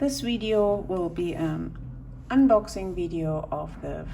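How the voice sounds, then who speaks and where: A woman speaks very slowly with a non-native accent. Room echo can be heard around her voice. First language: not English. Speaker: stationery YouTuber. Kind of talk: unboxing video. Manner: halting.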